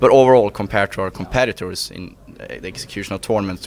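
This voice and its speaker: A man speaks with a fairly low voice. Noticeable background noise can be heard behind him. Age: 20s. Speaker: esports team executive. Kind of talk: interview. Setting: gaming event. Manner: halting.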